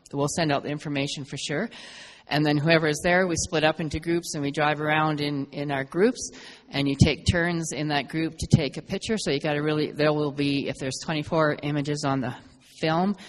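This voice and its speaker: This woman talks at a fairly quick pace, her very deep, low pitch carried by fairly even intonation. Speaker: photo club organizer. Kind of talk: club meeting announcements. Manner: fast; hesitant, many fillers.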